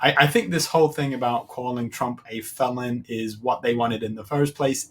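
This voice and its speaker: An unremarkable speaking voice from a man at medium pitch, with ordinary pitch variation and a moderate pace. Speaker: political reaction video host. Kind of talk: reaction commentary.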